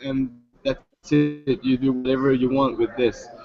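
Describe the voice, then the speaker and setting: Music in the background behind a man speaking at moderate speed. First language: French. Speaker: startup founder. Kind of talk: startup pitch Q&A. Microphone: line cutting out.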